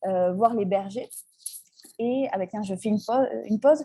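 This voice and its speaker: A woman speaks with a Basque accent at medium pitch. Her tone is dark and mellow, and somewhat breathy. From French Basque Country. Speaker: travel trip presenter. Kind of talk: presentation talk. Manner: hesitant, many fillers.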